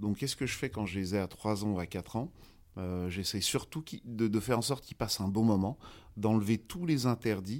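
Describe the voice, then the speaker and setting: In a very clean recording with a silent background, a man with a fairly low pitch speaks at a fairly quick pace with ordinary pitch variation, in an ordinary speaking voice. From France, Paris. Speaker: golf instructor. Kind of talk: interview.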